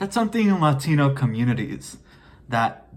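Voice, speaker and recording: The voice is somewhat breathy. It carries an American accent. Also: man. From US, Mexican American. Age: 20s. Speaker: vlogger. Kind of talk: casual monologue vlog. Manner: halting.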